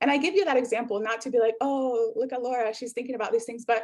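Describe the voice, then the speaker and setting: A woman with a Spanish accent speaks with a fairly high pitch. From South America. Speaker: workshop facilitator, professor. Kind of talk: interactive workshop presentation.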